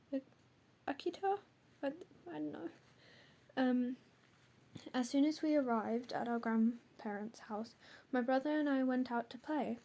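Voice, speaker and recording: At a moderate pace, a woman with a high, dark, mellow voice speaks with lively intonation and long, frequent pauses. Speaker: urban legend video narrator. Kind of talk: casual narration; reading aloud. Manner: halting.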